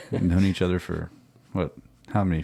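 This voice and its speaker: Soft-spoken and relaxed, a man speaks at a moderate pace with a very deep, low pitch and a dark, mellow, soothing tone. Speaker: podcast host. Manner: soft, relaxed, soothing.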